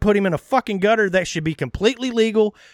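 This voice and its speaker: On a very clean recording with a silent background, a man speaks in an American accent at a high pitch. His tone is animated and the sound is dry and close, with no echo. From Texas (Texarkana). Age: 40s. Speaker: podcast host. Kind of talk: casual chat. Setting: outdoors on a patio.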